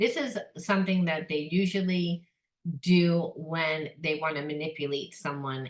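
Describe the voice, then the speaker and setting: A woman's fairly low-pitched, normal speaking voice with ordinary pitch variation. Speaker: psychic tarot reader. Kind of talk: tarot reading monologue. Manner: casual.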